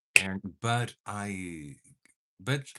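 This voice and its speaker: Against a quiet background, a man with a Portuguese accent speaks in a bright, sharp tone with lively intonation. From Portugal. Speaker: makeup vlogger. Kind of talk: casual livestream makeup chat. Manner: animated.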